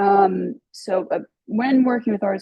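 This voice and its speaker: In an unremarkable speaking voice, a woman talks at a moderate speed, her pitch varying in an ordinary way. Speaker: regional planning grant coordinator. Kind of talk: webinar presentation.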